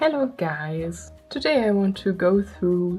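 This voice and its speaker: With music in the background, a woman speaks at a fairly low pitch with a non-native accent. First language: not English. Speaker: artist vlogger. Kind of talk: casual chat. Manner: rambling, with fillers.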